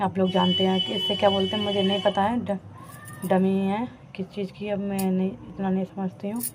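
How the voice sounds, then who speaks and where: Against noticeable background noise, a woman talks at medium pitch with fairly even intonation. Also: moderate pace. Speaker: vlogger. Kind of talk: vlog narration. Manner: halting.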